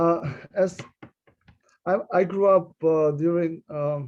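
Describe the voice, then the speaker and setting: A man talks with a Russian accent. His pitch is fairly high. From Uzbekistan (Tashkent). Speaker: immigration attorney. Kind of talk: panel discussion. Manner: halting, many fillers.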